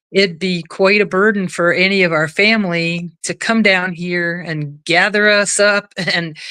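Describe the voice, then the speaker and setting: At a fairly slow pace with hardly any pauses, a woman speaks in a medium pitch with a bright, sharp tone and fairly even intonation. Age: 70s. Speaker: widow sharing her story. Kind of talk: interview. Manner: halting.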